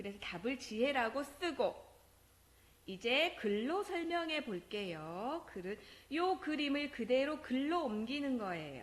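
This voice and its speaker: A woman with a high pitch talks at a very slow pace, her voice making very wide pitch swings. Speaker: elementary school teacher. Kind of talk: recorded math lesson for children.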